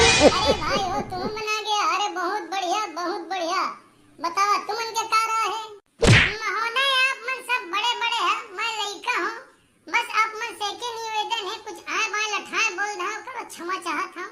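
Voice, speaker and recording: A squeaky, cartoonish character voice at an extremely high pitch. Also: moderate pace. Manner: earnest.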